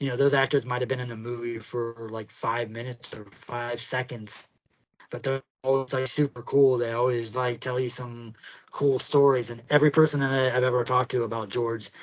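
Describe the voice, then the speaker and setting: Speaking at a fairly quick pace in a Pittsburgh accent, a man keeps a medium pitch and a monotone, flat intonation. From Pittsburgh, US. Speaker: podcast co-host. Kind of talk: casual chat. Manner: halting, many fillers.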